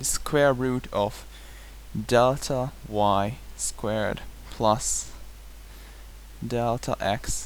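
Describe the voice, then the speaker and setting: A man with a non-native accent speaks at a very slow pace. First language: not English. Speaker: math tutor. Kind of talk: tutorial lecture. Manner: hesitant at times.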